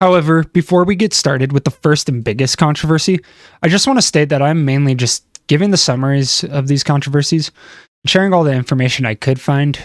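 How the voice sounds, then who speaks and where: In a very clean recording with a silent background and a dry, close sound with no echo, a man with a fairly high voice speaks very fast at very even loudness, his pitch varying in an ordinary way. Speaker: commentary YouTuber. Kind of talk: scripted commentary video. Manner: slurred words.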